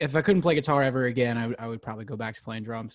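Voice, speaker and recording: A man with an ordinary speaking voice talks at medium pitch with ordinary pitch variation. The recording is very clean, with a silent background. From Pennsylvania, West Chester near Philadelphia. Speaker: country singer-songwriter. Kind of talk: casual interview chat.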